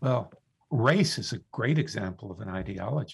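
There is a somewhat breathy man with an American accent whose pitch swings very widely, on a very clean recording with a silent background. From US South, South Florida. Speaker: philosophy professor and author. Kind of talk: radio interview. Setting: studio.

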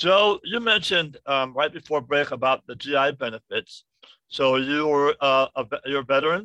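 A man at a fairly high pitch speaks in an ordinary speaking voice with ordinary pitch variation. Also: moderate pace. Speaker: radio host. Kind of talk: interview.

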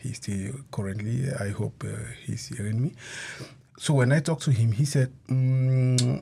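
This man talks at a medium pitch, his voice somewhat breathy. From Cameroon. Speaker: asylee. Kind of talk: radio interview.

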